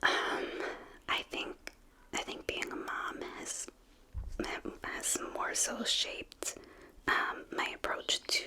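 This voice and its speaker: Someone whispers at a very slow pace in an American accent over noticeable background noise. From New York City. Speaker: singer-songwriter; mother. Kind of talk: interview answer.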